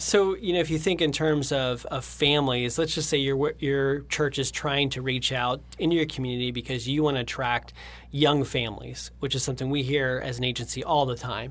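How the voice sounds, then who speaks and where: Using an ordinary speaking voice, a man talks at medium pitch and a fairly quick pace, with fairly even intonation and hardly any pauses. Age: 30s. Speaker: creative director at a design agency. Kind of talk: interview.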